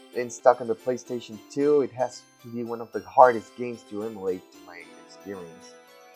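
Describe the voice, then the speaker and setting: Music plays in the background as a man talks. His pitch is medium and his pace fairly quick. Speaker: video game reviewer. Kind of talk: casual game review talk. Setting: home recording, poor audio.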